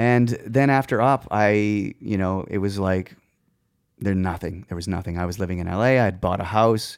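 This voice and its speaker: In a Canadian Prairies accent, a man with a fairly low pitch talks at a moderate pace in a very clean recording with a silent background. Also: ordinary pitch variation. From Saskatchewan, Canada (Moose Jaw). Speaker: touring musician and music director. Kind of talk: casual interview.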